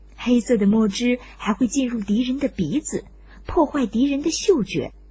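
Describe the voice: A woman's fairly high voice with a dark, mellow tone, lively intonation and a moderate pace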